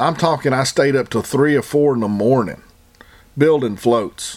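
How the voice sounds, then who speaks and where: This is a man with an American accent. His pitch is fairly high. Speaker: trapping podcast host. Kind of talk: solo podcast monologue. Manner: casual, conversational.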